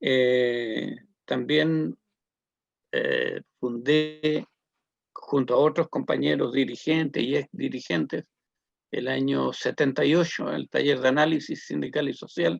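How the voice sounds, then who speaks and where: A man speaking at a very slow pace in a dry, close sound with no echo. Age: 70s. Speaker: social activist and community leader. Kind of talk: interview testimony. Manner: hesitant, many fillers.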